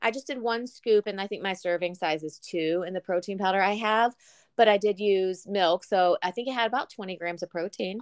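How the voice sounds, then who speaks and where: A woman with a Southern US accent at a fairly quick pace, against a quiet background, in a dry, close sound with no echo. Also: medium pitch for a woman, ordinary pitch variation. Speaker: podcast co-host. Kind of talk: casual chat.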